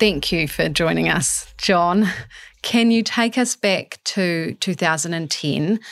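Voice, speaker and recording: At a very slow pace, a woman speaks with a fairly low pitch and ordinary pitch variation in a very clean recording with a silent background. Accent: New Zealand. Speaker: podcast host. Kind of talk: interview; scripted narration.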